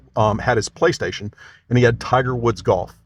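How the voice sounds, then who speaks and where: A man speaks at a fairly quick pace with vocal fry and a medium pitch. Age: 60s. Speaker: golf league founder. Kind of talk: interview.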